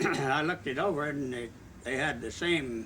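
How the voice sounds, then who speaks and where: A man with an American accent, medium pitch and lively intonation at a moderate pace, with audible room echo. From US Midwest, Southwest Missouri. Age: 90s. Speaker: retired Coast Guard officer. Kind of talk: oral history interview. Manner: halting, many fillers.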